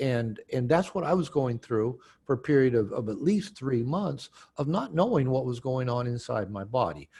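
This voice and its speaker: A man with an American accent speaks at a fairly slow pace with lively intonation. His voice is medium in pitch and somewhat breathy. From US Pacific Northwest, Seattle. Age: 60s. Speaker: author and therapist. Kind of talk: interview. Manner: halting, many repeated words.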